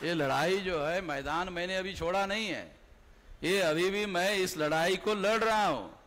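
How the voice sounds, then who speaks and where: A high-pitched male voice with audible room echo. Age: 60s. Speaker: political activist. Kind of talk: political rally speech. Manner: animated.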